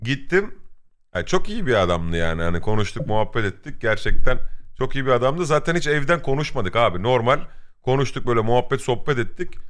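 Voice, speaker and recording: A man with vocal fry talks at a fairly quick pace, his medium pitch making very wide swings. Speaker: streamer. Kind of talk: casual chat. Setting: live stream.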